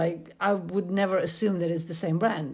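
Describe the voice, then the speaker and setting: A woman is speaking. She has a Polish accent. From Poland. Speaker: podcaster and university student. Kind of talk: scripted solo podcast narration.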